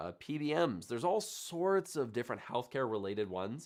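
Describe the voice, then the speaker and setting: Very wide pitch swings stand out on a very clean recording with a silent background. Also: man. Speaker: data analytics YouTuber. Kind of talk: livestream Q&A. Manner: casual, filler-heavy.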